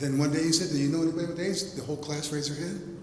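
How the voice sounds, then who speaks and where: There is audible room echo and noticeable background noise. A man speaks at a fairly high pitch. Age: 70s. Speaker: poet. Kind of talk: panel discussion. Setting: gallery talk with audience. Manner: animated.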